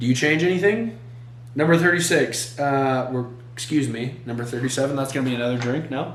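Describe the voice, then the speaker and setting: With audible room echo, a man of medium pitch speaks at a moderate pace, leaving long, frequent pauses. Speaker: solo YouTuber. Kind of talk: casual monologue reading questions. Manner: halting with fillers.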